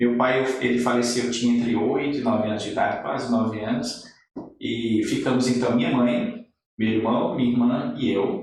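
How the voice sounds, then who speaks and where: Against audible room echo, a man with a medium-pitched, somewhat breathy voice speaks at a moderate pace with fairly even intonation. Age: 50s. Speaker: ophthalmologist. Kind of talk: interview.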